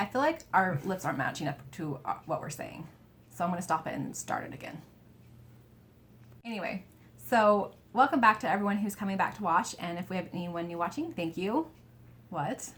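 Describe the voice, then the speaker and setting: A woman's medium-pitched voice at a fairly quick pace, with long, frequent pauses, big swings in loudness and lively intonation. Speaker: cross-stitch video creator. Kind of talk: casual chat.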